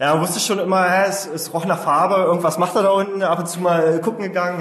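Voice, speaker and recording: Amid noticeable background noise and audible room echo, a man talks at a very fast pace in a high voice. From Saxony-Anhalt, Germany (Osterburg, Altmark). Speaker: startup founder. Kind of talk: interview.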